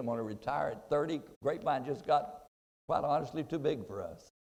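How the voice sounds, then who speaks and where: With a Texan accent, a man talks at a fairly quick pace with ordinary pitch variation. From Texas (Brownwood). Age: 70s. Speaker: motivational speaker, retired school principal. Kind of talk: motivational speech.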